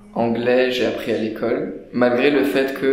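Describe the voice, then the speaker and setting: A man's medium-pitched voice with audible room echo and noticeable background noise. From France, Paris. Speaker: student. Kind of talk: interview. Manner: hesitant, many fillers.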